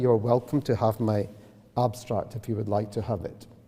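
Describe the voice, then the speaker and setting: This man's voice has a dark, mellow tone. He moves along at a fairly quick pace. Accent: Scottish. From Scotland. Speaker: professor of public health. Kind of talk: lecture. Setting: lecture hall with audience.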